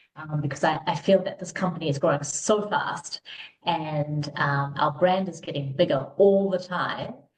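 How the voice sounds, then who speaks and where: In a New Zealand accent, a woman talks at a moderate pace with ordinary pitch variation. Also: fairly low pitch for a woman. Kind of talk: podcast interview. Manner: many filler words, um.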